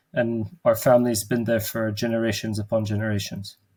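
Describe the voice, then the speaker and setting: A man speaks at a medium pitch and moderate pace in a dark, mellow tone with monotone, flat intonation. The recording is very clean, with a silent background. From Jerusalem. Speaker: theologian. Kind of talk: interview.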